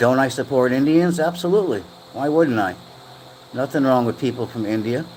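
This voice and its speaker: Noticeable background noise sits behind a man's voice. He speaks at a medium pitch with ordinary pitch variation. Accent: American. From USA. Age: 60s. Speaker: live streamer. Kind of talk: casual chat. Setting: livestream. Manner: halting.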